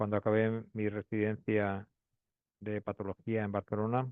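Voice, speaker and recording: A man speaks in a monotone, flat intonation. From Spain, Madrid. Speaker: pathologist. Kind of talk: lecture. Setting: webinar. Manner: hesitant, many fillers.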